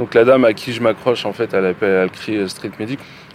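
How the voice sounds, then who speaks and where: A man talks at a fairly quick pace in a medium pitch with ordinary pitch variation. Noticeable background noise sits behind him. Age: 40s. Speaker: factory worker. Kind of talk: testimony.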